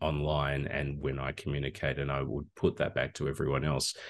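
The voice carries vocal fry and an Australian accent. Its pace is moderate. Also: man. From Australia, regional Victoria. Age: old. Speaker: communication lecturer. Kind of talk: interview. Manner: hesitant with fillers.

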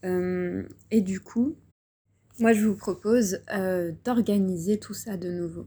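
The voice is dark and mellow, somewhat breathy, and fairly even in intonation, moving at a very slow pace with big swings in loudness. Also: woman, medium pitch for a woman. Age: 20s. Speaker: spiritual coach and podcaster. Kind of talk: guided reflection monologue. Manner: hesitant, many fillers.

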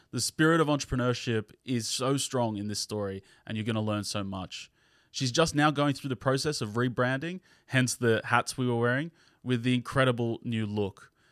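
A man with an Australian accent speaks at a moderate pace and medium pitch, with ordinary pitch variation. The recording is dry and close with no echo, very clean, with a silent background. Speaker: podcast host. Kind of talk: casual interview.

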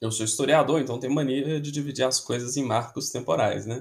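A man speaks at a fairly high pitch. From Belo Horizonte, Minas Gerais, Brazil. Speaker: football podcaster and historian. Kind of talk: casual podcast monologue.

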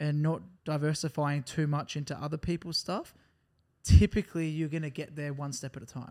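At a moderate pace, a man with an Australian accent talks at a fairly high pitch with ordinary pitch variation. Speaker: podcast co-host. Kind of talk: casual chat.

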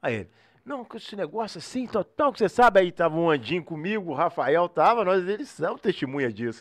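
Very wide pitch swings run through this fairly quick delivery over a quiet background. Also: man. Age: 40s. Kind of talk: casual interview chat.

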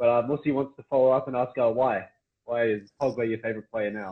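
A man with an Australian accent speaks at a very fast pace. His medium pitch holds to a fairly even intonation. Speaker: podcast host. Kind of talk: casual interview chat.

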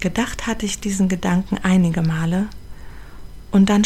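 The woman's intonation is monotone and flat. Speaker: podcast host and charity founder. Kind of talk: personal narration.

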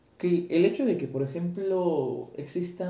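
Audible room echo accompanies speech at a fairly slow pace with ordinary pitch variation. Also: man. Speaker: tenor student podcaster. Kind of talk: casual monologue. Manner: halting.

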